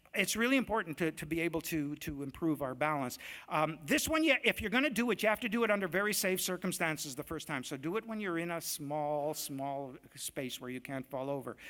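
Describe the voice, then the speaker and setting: A man's animated, bright, sharp voice at a fairly high pitch, with lively intonation and a fairly quick pace, on a very clean recording with a silent background. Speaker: doctor. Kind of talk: lecture. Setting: stage with audience. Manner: fast.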